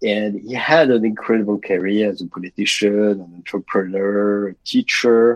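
A man with a fairly low pitch speaks at a moderate pace with fairly even intonation, hardly any pauses and big swings in loudness, in a dry, close sound with no echo. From France. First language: French. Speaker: international banker. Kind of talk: interview.

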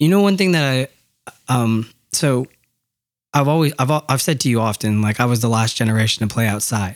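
A man with an ordinary speaking voice talks in an American accent at a medium pitch and moderate pace. His intonation is lively and his loudness very even. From Yakima, Washington, US. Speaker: podcast co-host. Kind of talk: casual chat.

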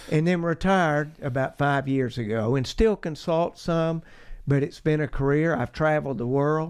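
Against a quiet background, a man talks in an Appalachian Georgia accent. His pitch is fairly high, with ordinary variation, and his pace is moderate. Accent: Southern US (Appalachian Georgia). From US South, north Georgia mountains. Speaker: geologist. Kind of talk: interview.

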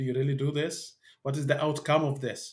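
Fairly quick and somewhat breathy, a man's fairly high voice runs in a monotone, flat line. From Middle East. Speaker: organisational learning expert. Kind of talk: interview. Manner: halting.

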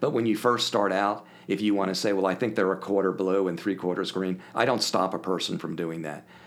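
An ordinary speaking voice, this man talks at a fairly quick pace with a fairly low pitch and an American accent. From Philadelphia area, US. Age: 60s. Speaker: podcast guest, business coach. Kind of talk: casual interview chat.

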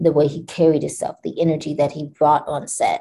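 The woman's voice is very deep and low, somewhat breathy, with a dark, mellow tone and monotone, flat intonation. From Kentucky. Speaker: actress. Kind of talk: interview, casual chat.

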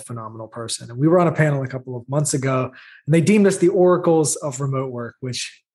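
Over a quiet background, a man with a Southern US accent speaks at a fairly high pitch and sounds somewhat breathy. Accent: Southern drawl. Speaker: remote work executive. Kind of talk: interview.

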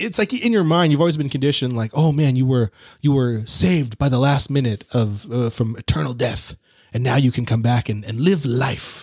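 A man speaks at a fairly quick clip, his voice somewhat breathy. The sound is dry and close, with no echo. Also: medium pitch for a man, ordinary pitch variation. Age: 30s. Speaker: podcast co-host, movie reviewer. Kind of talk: casual chat.

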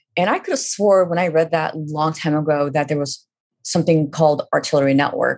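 A woman with a Californian accent has a very deep, low voice. She talks at a fairly quick pace with ordinary pitch variation. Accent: Californian American English. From Northern California, Fremont. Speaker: graphic novel writer. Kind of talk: interview.

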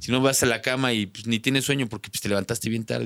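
A man with a Mexican accent talks at a very fast pace. His voice sits at medium pitch with ordinary pitch variation. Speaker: content creator and rock musician. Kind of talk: casual chat.

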